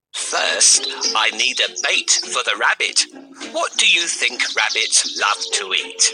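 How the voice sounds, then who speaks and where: At a fairly slow pace, a man delivers his lines in a put-on character voice. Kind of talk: children's storybook acting. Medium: read story.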